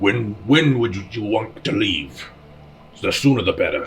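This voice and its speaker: A man's put-on character voice at medium pitch and moderate pace, over clear background noise. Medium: actual play. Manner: curt, presumptuous.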